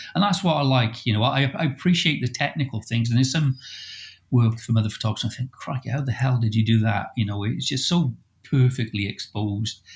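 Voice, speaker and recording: A man speaks at a fairly quick pace and a medium pitch. His voice is somewhat breathy, with ordinary pitch variation. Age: 60s. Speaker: landscape photographer. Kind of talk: casual chat. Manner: hesitant, many fillers.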